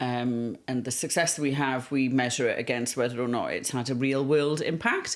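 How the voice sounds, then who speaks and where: Speaking in a South Wales Valleys accent, a woman with a very deep, low pitch keeps a moderate pace and fairly even intonation with hardly any pauses. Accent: South Wales Valleys Welsh English. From Wales, the Welsh Valleys. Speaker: communications agency founder. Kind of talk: podcast interview. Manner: hesitant, many fillers.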